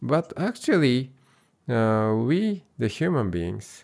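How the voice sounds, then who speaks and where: A man with a Japanese accent speaks at a very slow pace, his pitch swinging very widely, on a very clean recording with a silent background. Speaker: Buddhist monk and translator. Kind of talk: interview conversation. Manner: halting, many fillers.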